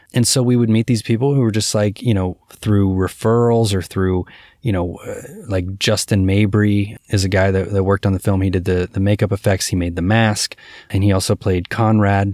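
A man with an American accent speaks at a moderate pace in a fairly low pitch, with fairly even intonation and an unremarkable speaking voice. The recording is very clean with a silent background and a dry, close sound with no echo. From Cincinnati, Ohio. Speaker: film director. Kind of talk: interview answers.

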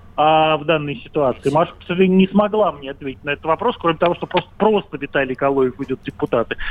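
Very fast and with hardly any pauses, a fairly high-pitched man talks with ordinary pitch variation and big swings in loudness. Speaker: caller, commentator. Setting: phone call.

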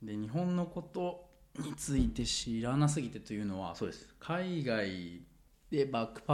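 This man's pace is fairly slow. His pitch swings very widely. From Japan, Sendai (Miyagi). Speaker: engineer. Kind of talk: casual interview chat.

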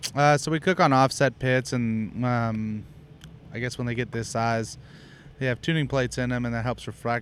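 This man talks at a moderate pace with a Texan accent, a medium pitch and ordinary pitch variation. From Houston, Texas. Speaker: barbecue pitmaster and restaurant owner. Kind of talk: casual interview. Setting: at his restaurant.

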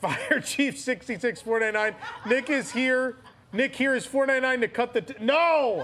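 A man speaks at an extremely high pitch and a very slow pace, with ordinary pitch variation over noticeable background noise. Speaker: podcast host. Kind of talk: live comedy show banter. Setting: live show with audience.

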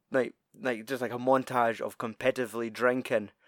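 A man at a fairly slow pace, with monotone, flat intonation, in a dry, close sound with no echo and a very clean recording with a silent background. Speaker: podcast co-host. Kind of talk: casual banter.

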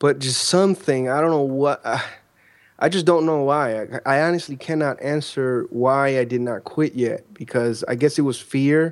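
In a plain, everyday voice with an American accent, a man with a fairly high pitch talks at a moderate pace and with ordinary pitch variation on a very clean recording with a silent background. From Chicago, Illinois. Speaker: online entrepreneur. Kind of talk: interview conversation.

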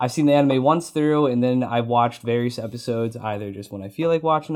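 An ordinary speaking voice, with normal pitch movement, comes through at a fairly brisk rate on a very clean recording against a silent background. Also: man. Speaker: podcast guest. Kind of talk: casual chat.

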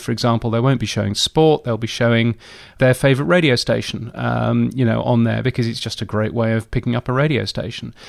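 A man with a British accent speaks at a medium pitch and a fairly quick pace. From England. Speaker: radio industry editor and commentator. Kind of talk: casual interview chat.

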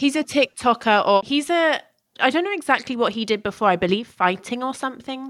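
A woman's high-pitched voice in an English accent, fairly quick and lively in intonation, very clean with a silent background. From England, Ealing and Buckinghamshire. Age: 20s. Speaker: cosmetology student. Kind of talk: casual chat.

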